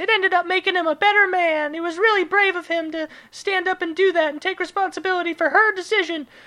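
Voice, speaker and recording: In a put-on character voice, the speaker talks at a very fast pace and an extremely high pitch. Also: hardly any pauses. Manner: mocking, exaggerated, sarcastic.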